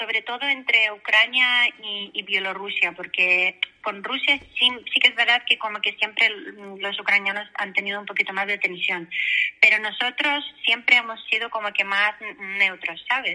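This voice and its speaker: Noticeable background noise behind a woman's fairly high-pitched voice, at a moderate pace with ordinary pitch variation. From Belarus. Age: 30s. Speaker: interview guest. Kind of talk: casual interview.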